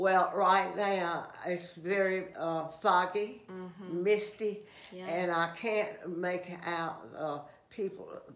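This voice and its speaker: A woman speaks very slowly in a Southern US accent with fairly even intonation. Background noise is noticeable. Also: medium pitch for a woman. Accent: Southern American. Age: 80s+. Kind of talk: interview answer. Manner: hesitant, halting.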